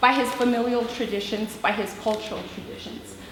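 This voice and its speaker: Noticeable background noise and audible room echo surround the voice. A woman speaks at a high pitch. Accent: American. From US–Mexico border region. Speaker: teacher. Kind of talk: presentation. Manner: hesitant, many fillers.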